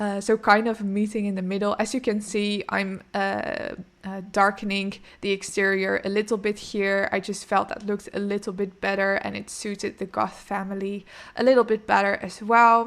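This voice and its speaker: In a very clean recording with a silent background, a woman with a Dutch accent speaks in a monotone, flat intonation. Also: medium pitch for a woman, moderate pace. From Netherlands. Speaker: gaming YouTuber. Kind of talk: casual gameplay commentary. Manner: hesitant, many fillers.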